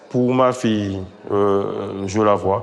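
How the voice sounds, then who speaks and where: A man speaks in a fairly low voice. He delivers everything in a flat monotone. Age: 40s. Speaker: father in a parenting association. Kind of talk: documentary interview testimony.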